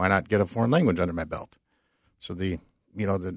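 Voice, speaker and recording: Dry and close with no echo, a man's fairly low voice carries an American accent and ordinary pitch variation on a very clean recording with a silent background. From Minnesota. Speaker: retired army sergeant major, engineering agency staff. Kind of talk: radio interview.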